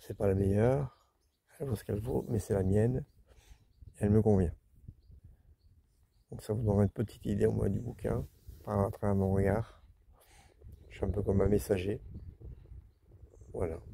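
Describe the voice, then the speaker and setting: At a moderate pace, a man with a dark, mellow tone and vocal fry speaks with ordinary pitch variation and long, frequent pauses. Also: fairly low pitch for a man. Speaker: travel vlogger camping with his dog. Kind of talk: casual vlog talk to camera. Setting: outdoors by a lake. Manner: louder because of the wind.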